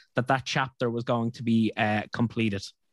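On a very clean recording with a silent background and a dry, close sound with no echo, a man speaks at a fairly quick pace with an Irish accent. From Ireland. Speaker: podcast host. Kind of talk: interview.

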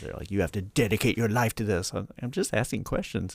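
A man with an American accent and vocal fry at a very fast pace, on a very clean recording with a silent background. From North Carolina, Charlotte. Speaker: comedian and podcast host. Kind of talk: scripted show intro; casual interview chat.

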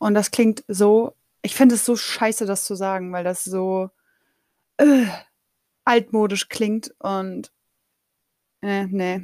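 Very slow, with long, frequent pauses, a woman speaks at a medium pitch in a dark, mellow tone with fairly even intonation, in a dry, close sound with no echo. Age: 30s. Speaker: podcaster and master's student. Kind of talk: casual solo monologue. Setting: home office. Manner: very colloquial, laughing often.

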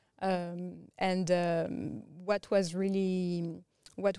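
In a very clean recording with a silent background, a woman with a strong French accent speaks at a medium pitch in a dark, mellow tone, her intonation monotone and flat, the sound dry and close with no echo. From France. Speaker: tech strategist and business founder. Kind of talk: interview conversation.

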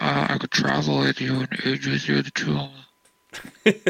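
A man's raspy, put-on character voice, very deep and low, at a fairly slow pace

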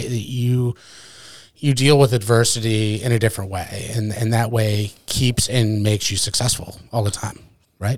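This is a man with a somewhat breathy voice. His pitch sits in the medium range. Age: 40s. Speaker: podcast host. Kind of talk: casual chat. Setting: studio.

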